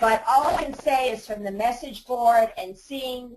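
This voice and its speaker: Noticeable background noise behind the voice of a woman. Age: 60s. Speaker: website owner selling her business. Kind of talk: webinar Q&A. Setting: webinar audio bridge.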